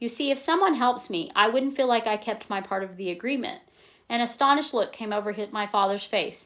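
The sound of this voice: The voice reads in an unforced way. The reading comes across as unforced throughout.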